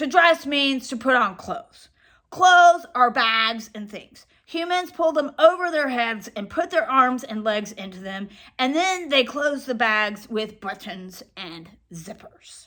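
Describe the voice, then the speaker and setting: A woman puts on a gruff character voice at a high pitch and a fairly slow pace. The recording is very clean, with a silent background. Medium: read story. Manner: know-it-all, lecturing; gruff, easily irritated.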